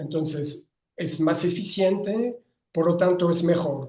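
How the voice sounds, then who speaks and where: A man speaks with a French accent and a high pitch, his tone dark and mellow. His pace is very slow. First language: French (speaking Spanish). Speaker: writer and philosopher. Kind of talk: interview. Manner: halting, with frequent self-corrections.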